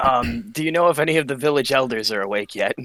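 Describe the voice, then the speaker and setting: Putting on a raspy character voice, a man talks very fast at medium pitch with lively intonation. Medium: actual play. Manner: cheeky, flippant.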